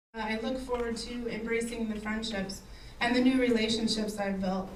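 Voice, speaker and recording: Audible room echo surrounds a woman speaking at a moderate pace with a fairly high pitch. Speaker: cancer survivor sharing her story. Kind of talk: speech to event audience.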